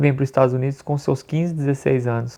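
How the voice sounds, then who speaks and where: A man's fairly high voice over a quiet background. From Brazil, Belo Horizonte, Minas Gerais. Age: 40s. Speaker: immigrant vlogger. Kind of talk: personal storytelling to camera. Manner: casual, conversational.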